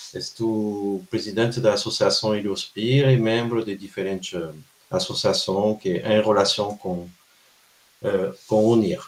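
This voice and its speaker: A man with a French accent, fairly low in pitch, fairly slow, with ordinary pitch variation. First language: French (speaking Portuguese). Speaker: researcher. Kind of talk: lecture. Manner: halting.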